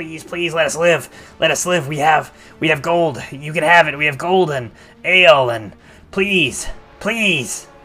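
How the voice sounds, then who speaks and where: In a put-on character voice, a man speaks at a fairly slow pace with fairly high pitch. Faint music plays in the background. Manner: pleading, desperate.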